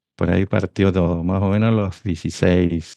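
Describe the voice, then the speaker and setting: A man's very deep, low voice with a dark, mellow tone and fairly even intonation, over a quiet background, in a dry, close sound with no echo. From northern Chile. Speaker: industrial engineer and devotional author. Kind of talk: interview.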